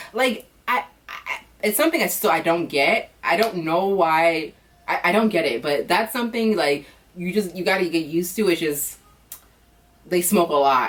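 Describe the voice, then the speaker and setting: A woman with an American accent, fairly low pitch and lively intonation, over noticeable background noise. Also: moderate pace. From United States. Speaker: vlogger. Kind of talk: casual vlog monologue. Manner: casual, filler-heavy; switches between English and non-native French.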